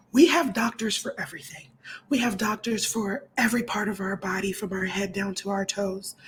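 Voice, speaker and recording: Noticeable background noise runs behind a woman with an American accent. Her fairly high voice moves at a moderate pace with ordinary pitch variation. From Montgomery County, Maryland. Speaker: human rights activist. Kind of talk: interview. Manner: animated.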